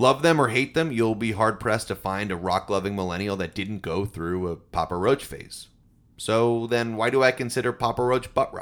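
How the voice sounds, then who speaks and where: A man's ordinary speaking voice, medium in pitch, with ordinary pitch variation at a moderate pace, in a very clean recording over a silent background. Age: 30s. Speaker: music history podcaster. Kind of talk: scripted narration.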